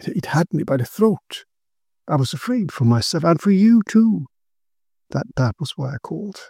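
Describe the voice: In a put-on character voice with a dark, mellow tone, vocal fry and a slightly husky edge, the speaker moves at a moderate pace through big pitch swings, the sound dry and close with no echo. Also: man, fairly high pitch for a man.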